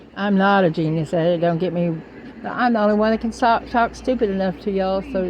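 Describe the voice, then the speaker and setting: Here is a woman with a plain, everyday voice at medium pitch. Her pace is moderate and her pitch varies in an ordinary way. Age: 60s. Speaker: spiritual vlogger. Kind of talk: spiritual monologue to camera. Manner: rambling, informal with swearing.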